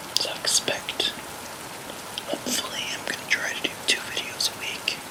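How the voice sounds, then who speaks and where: Behind this man's whisper there is noticeable background noise. He keeps his voice to a whisper throughout. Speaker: graphic designer; ASMR creator. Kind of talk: ASMR channel introduction. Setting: soft rain sounds in the background. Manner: whispered.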